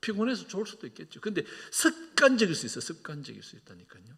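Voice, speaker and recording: The speaker is a man with a high pitch that swings very widely. His pace is moderate. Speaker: senior pastor. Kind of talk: sermon.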